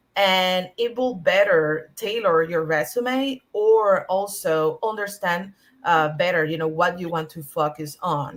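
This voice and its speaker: Speaking at a fairly slow pace with hardly any pauses, a woman with a Spanish accent uses a medium pitch and ordinary pitch variation. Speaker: early-career cybersecurity professional. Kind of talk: panel discussion. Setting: online video panel. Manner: halting, many fillers.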